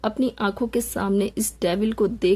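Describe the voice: Fairly even intonation throughout some plain reading aloud.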